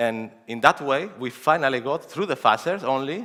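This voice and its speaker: Heard in a very clean recording with a silent background, a man at medium pitch speaks at a fairly quick pace in a bright, sharp tone. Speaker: security researcher. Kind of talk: conference talk. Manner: fast.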